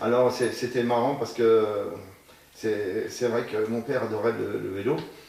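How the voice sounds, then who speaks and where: Amid noticeable background noise and audible room echo, a man with a medium-pitched voice talks at a fairly slow pace in a flat monotone. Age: 60s. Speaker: amateur cyclist. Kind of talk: interview.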